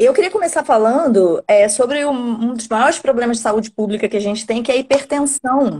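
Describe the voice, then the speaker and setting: With a Rio de Janeiro accent, a woman speaks at a high pitch with lively intonation. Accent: carioca. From Rio de Janeiro, Brazil. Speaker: nephrologist and medical teacher. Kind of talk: live stream medical conversation. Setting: online live stream.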